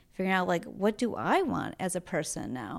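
A woman with a normal speaking voice in an American accent, fairly low pitch, ordinary pitch variation, and moderate pace, on a very clean recording with a silent background. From Green Bay, Wisconsin. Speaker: fashion influencer and stylist. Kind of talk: casual interview.

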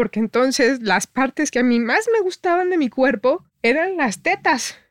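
The voice moves at a fairly slow pace with very wide pitch swings. The sound is dry and close, with no echo. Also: woman. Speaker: photographer. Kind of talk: interview.

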